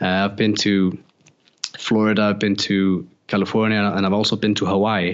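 In an Icelandic accent, a man speaks at a moderate pace with a fairly low pitch, monotone, flat intonation and very even loudness. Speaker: photographer and former pedal builder. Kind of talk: casual interview chat.

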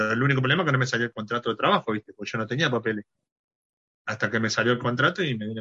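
A man talks at a very fast pace in a bright, sharp tone. His pitch variation is ordinary. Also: medium pitch for a man, dry, close sound with no echo. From Argentina, Córdoba province. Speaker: sports doctor and amateur football club president. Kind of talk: interview. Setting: video call.

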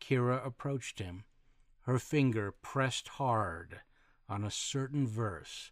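Plain reading aloud fills this recording.

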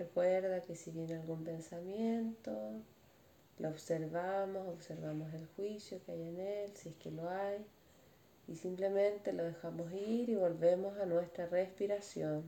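Noticeable background noise sits behind a woman with a fairly low voice speaking at a fairly slow pace. Her intonation stays fairly even while her loudness swings widely. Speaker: meditation teacher. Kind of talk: guided meditation. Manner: speaking louder, voice directed away.

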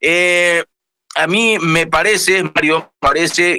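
A man speaks in a high pitch with a bright, sharp tone. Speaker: radio news anchor. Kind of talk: news show chat.

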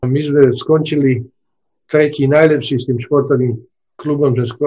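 Somewhat breathy and dark, mellow in tone, a man speaks fairly slowly with monotone, flat intonation. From Slovakia, Nové Zámky. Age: 70s. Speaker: retired scientist. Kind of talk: interview.

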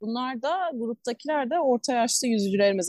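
In an ordinary speaking voice, a woman talks fairly quickly at a fairly high pitch with ordinary pitch variation, the sound dry and close with no echo. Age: 20s. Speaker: marathon swimmer and swim coach. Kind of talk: interview.

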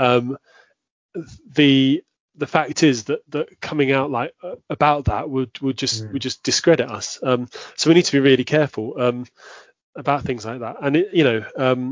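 With a southern English accent, a man of medium pitch speaks at a moderate pace, his intonation fairly even while his loudness swings widely. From southwest London, England. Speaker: Anglican priest. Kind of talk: casual interview. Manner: halting, many fillers.

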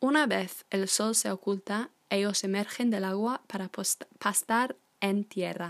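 Recorded dry and close with no echo, a woman with an unremarkable speaking voice talks at medium pitch and a moderate pace with ordinary pitch variation. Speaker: language teacher. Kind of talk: tutorial. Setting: podcast recording. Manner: informal, friendly, with fillers.

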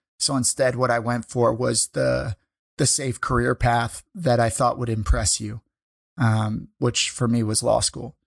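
A man with a Midwestern American accent talks at a fairly slow pace in a medium pitch, his intonation fairly even, on a very clean recording with a silent background and a dry, close sound with no echo. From US Midwest, St. Louis suburbs. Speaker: writer and former lawyer. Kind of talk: interview conversation.

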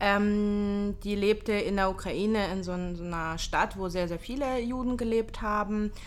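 A woman speaks at a very slow pace, her pitch medium with ordinary variation. The room echo is audible. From Hamburg, northern Germany. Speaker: podcast host, entrepreneur. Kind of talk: casual chat.

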